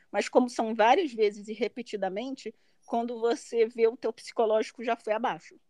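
With a Brazilian accent, a woman speaks at a moderate pace in a fairly high pitch with ordinary pitch variation, in a dry, close sound with no echo. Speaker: master's graduate living abroad. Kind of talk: interview.

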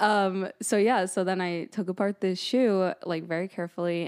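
In a very clean recording with a silent background and a dry, close sound with no echo, a woman with an American accent and a plain, everyday voice speaks at a moderate pace with fairly even intonation. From New Jersey. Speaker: graphic designer and upcycling artist. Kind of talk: interview. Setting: studio.

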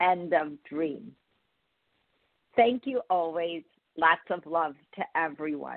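Her voice low in pitch, a woman speaks slowly with lively intonation in a dry, close sound with no echo.

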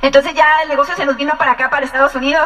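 Through noticeable background noise, a woman projects a raised, high-pitched voice with fairly even intonation. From Mexico, Ensenada, Baja California. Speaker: business couple giving testimony. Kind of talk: testimony.

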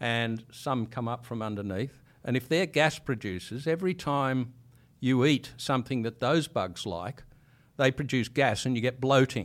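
At a moderate pace, a man talks at a medium pitch with ordinary pitch variation in a very clean recording with a silent background. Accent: Australian. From Sydney, Australia. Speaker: microbiologist. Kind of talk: interview.

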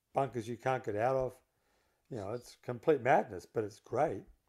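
This is a man at a medium pitch. His tone is dark and mellow. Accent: Australian. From Melbourne, Australia. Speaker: golf course architect and former pro golfer. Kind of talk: casual chat.

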